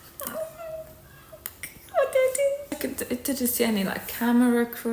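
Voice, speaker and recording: There is noticeable background noise behind a soft-spoken woman. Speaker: ASMR creator and aspiring actor. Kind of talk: ASMR storytime to camera. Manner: soft-spoken, chatty.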